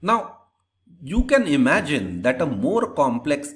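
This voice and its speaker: A man at a fairly slow pace, very wide pitch swings, and audible room echo. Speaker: lecturer. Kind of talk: lecture. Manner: slow, deliberate; repetitive, stumbling restarts.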